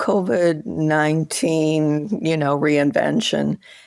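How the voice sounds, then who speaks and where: A woman at a very slow pace in a very clean recording with a silent background. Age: 70s. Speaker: author. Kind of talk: interview conversation.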